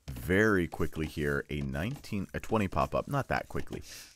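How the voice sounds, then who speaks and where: Recorded dry and close with no echo, a man speaks with vocal fry. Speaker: game caster. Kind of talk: live commentary. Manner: stumbles over words; casual, filler-heavy.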